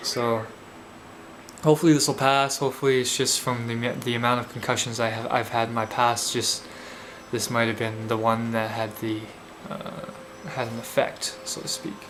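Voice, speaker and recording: With long, frequent pauses, a man talks at a medium pitch and fairly even intonation, with audible room echo and noticeable background noise. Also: moderate pace. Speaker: vlogger and protester. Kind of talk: video blog. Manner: slurred; halting.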